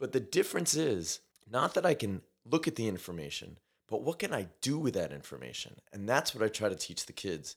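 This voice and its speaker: Vocal fry runs through a man's voice as he talks at a moderate pace in a New York accent, his pitch swinging very widely. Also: very clean recording, silent background. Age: 40s. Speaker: science teacher and musician. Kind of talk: casual chat.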